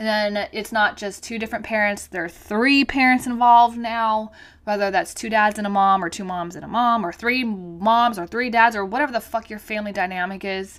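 A woman with a fairly high pitch and fairly even intonation speaks at a fairly quick pace, hardly pausing, while her loudness rises and falls sharply. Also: very clean recording, silent background. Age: 30s. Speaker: podcast host. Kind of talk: personal monologue. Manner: halting.

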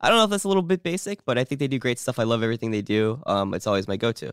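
With an American accent, the voice swings very widely in pitch on a very clean recording with a silent background. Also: man. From New Jersey, US. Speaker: podcast host. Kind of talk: casual chat. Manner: animated, joking.

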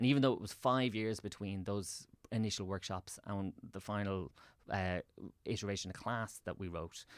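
A man speaks with a Dublin accent at a moderate pace and a fairly low pitch. His intonation is fairly even, and the recording is very clean with a silent background. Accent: Dublin Irish. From Ireland, Swords (north County Dublin). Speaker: theatre director and writer. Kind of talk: casual interview chat.

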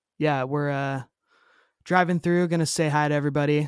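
A man with an ordinary speaking voice, fairly high in pitch, at a moderate pace, on a very clean recording with a silent background. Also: dry, close sound with no echo. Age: 30s. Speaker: punk band guitarist and vocalist. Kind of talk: casual chat. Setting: home studio.

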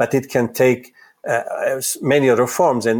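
Moderate pace, ordinary pitch variation, and an Italian accent. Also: man. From Italy. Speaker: psychoanalyst and psychology professor. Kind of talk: interview. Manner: halting, frequent repetitions.

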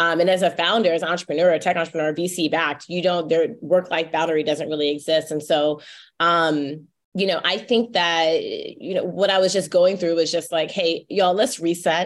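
With an American accent and a plain, everyday voice, a woman talks at a fairly quick pace with fairly low pitch and fairly even intonation in a very clean recording with a silent background. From North Carolina. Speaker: tech founder and author. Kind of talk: interview.

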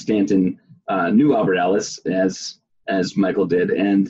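A man speaks at a fairly slow pace in a low voice with a dark, mellow tone. His pitch varies in an ordinary way, with a slightly husky edge.

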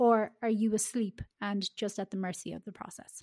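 In an ordinary speaking voice, a woman speaks at a moderate pace and a fairly high pitch, with ordinary pitch variation. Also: dry, close sound with no echo. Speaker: life coach. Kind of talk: casual interview chat.

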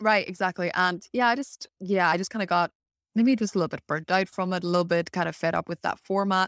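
Talking at a very fast pace in a Northern Irish accent, a woman holds a medium pitch and fairly even intonation, her dry, close sound free of echo on a very clean recording with a silent background. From Northern Ireland. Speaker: copywriter and business owner. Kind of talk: casual interview chat.

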